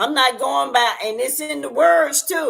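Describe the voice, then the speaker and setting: A woman's bright, sharp, animated voice with vocal fry and very wide pitch swings. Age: 60s. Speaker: YouTube talk show host. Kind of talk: casual livestream chat.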